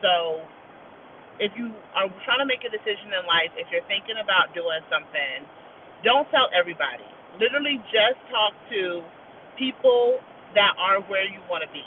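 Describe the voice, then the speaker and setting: A woman speaks at a moderate pace with lively intonation and long, frequent pauses. Noticeable background noise is present. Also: medium pitch for a woman. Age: 30s. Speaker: listener giving advice. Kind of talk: recorded voice message.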